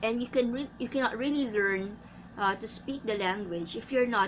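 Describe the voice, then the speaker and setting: A woman with a Filipino accent talks at a fairly slow pace, her voice somewhat breathy, with ordinary pitch variation. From Philippines. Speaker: English teacher. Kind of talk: tutorial. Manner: halting.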